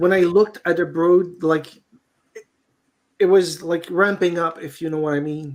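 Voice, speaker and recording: Speaking in a Quebec accent at a moderate pace, the voice leaves long, frequent pauses. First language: French. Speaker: beekeeper. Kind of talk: casual chat. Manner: halting.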